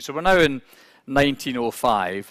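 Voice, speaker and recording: Speaking with a Scottish accent, a man uses a fairly high pitch with very wide pitch swings. The recording is very clean, with a silent background. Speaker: business executive speaker. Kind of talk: conference talk. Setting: conference hall with interpreters.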